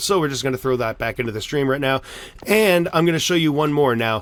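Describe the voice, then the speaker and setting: There is ordinary pitch variation in this man's voice. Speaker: Minecraft YouTuber. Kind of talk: tutorial. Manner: fast; animated.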